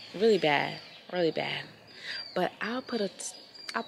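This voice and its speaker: A woman speaks with ordinary pitch variation. Noticeable background noise sits behind her voice. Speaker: travel vlogger. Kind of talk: casual vlog talk to camera.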